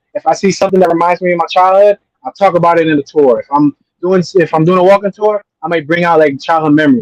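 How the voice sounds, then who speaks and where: A man speaks at a very fast pace with a high pitch and ordinary pitch variation. The sound is dry and close, with no echo. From US Northeast, North Philadelphia. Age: 30s. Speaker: YouTube creator. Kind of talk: interview. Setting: live stream.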